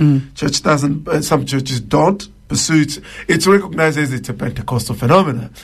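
Speaking at a moderate pace with an African accent, a man uses a fairly high pitch, ordinary pitch variation and vocal fry. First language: Chiluba. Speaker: pastor. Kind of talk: radio Bible teaching and Q&A.

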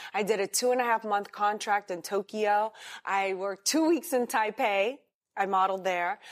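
In a normal speaking voice, a woman with an American accent talks at medium pitch with ordinary pitch variation and a moderate pace. The recording is very clean, with a silent background. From US South, New Orleans, Louisiana. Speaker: businesswoman and former actress. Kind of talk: interview. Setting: in-person interview in Singapore.

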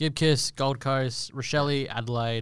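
In an Australian accent, a man speaks fairly slowly at medium pitch in a flat monotone. The recording is very clean, with a silent background. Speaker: football draft analyst. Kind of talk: casual chat.

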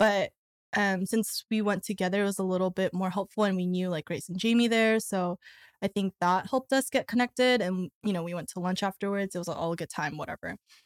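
A woman's plain, everyday voice at medium pitch, with ordinary pitch variation and a fairly quick pace, in a very clean recording with a silent background and a dry, close sound free of echo. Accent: American. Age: 20s. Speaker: church member and part-time barista. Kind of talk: casual chat.

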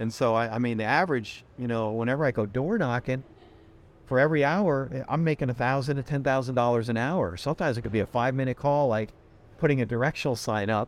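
A man with an American accent talks very fast at a medium pitch, his pitch varying in an ordinary way. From Connecticut. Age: 60s. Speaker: real estate agent. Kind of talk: interview. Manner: energetic.

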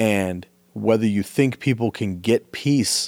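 A man's fairly low voice with an American accent and ordinary pitch variation, in a very clean recording with a silent background and a dry, close sound with no echo. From US West Coast, San Francisco Bay Area. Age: 30s. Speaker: musician. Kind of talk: casual chat.

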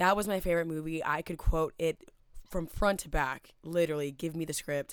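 On a very clean recording with a silent background, a woman with an American accent and a fairly low pitch talks at a moderate pace in an unremarkable speaking voice with ordinary pitch variation. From US South, Atlanta. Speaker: podcast host. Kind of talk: solo podcast monologue.

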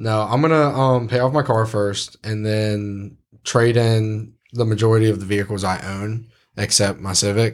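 On a very clean recording with a silent background, a man with an unremarkable speaking voice talks at a fairly low pitch and a moderate pace with fairly even intonation. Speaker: podcast host. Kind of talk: casual banter, crude humor.

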